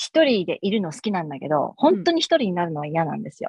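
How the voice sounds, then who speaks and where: This woman's voice is fairly low in pitch and somewhat breathy. Her intonation is lively. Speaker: custom cake business owner. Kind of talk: casual interview chat. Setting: video call. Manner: animated, laughs often.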